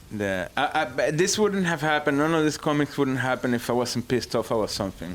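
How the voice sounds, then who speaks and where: A man with a Spanish accent and a fairly high pitch, at a very fast pace with hardly any pauses and very even loudness. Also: lively intonation. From Venezuela. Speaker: comic book writer and illustrator. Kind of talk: casual chat. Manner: halting.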